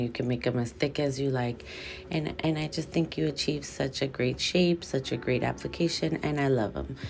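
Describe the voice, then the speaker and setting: A soft-spoken woman talks at a fairly slow pace with a very deep, low pitch and ordinary pitch variation. Audible room echo surrounds her voice. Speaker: nail technician and video creator. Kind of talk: tutorial voiceover. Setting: hiding in bathroom recording voiceover. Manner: quieter than usual.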